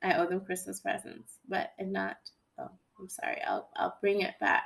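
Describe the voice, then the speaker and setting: Bright and sharp, a woman's voice sits fairly high in pitch. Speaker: math teacher. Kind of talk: recorded lesson. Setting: at home.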